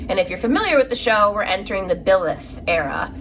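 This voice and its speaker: There is noticeable background noise in this clip. A woman speaks at a medium pitch in an American accent. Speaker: craft vlogger. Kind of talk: casual chat. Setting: home front room.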